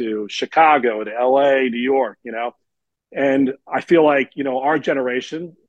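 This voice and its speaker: A man speaks at a medium pitch in an ordinary speaking voice. His pace is moderate and his intonation fairly even. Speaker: podcast host, broadcaster. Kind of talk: casual chat.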